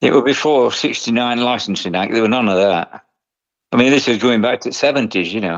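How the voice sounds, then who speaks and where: Against a quiet background, a man speaks at a fairly quick pace with a medium pitch and ordinary pitch variation. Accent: East Midlands. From England, Nottinghamshire. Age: 70s. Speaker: retired tattoo artist. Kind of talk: interview. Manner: casual, conversational.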